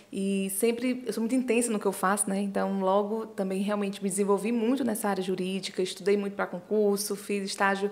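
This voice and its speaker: With a Ceará accent, a woman of medium pitch speaks at a moderate pace in a monotone, flat way over noticeable background noise. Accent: Northeastern Brazilian (Ceará). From Ceará, Brazil. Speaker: business and life management consultant. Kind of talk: podcast interview.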